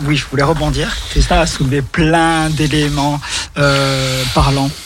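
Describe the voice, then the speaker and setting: A man speaks with fairly even intonation. Background noise is noticeable. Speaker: radio show co-host. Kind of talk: casual chat. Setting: studio.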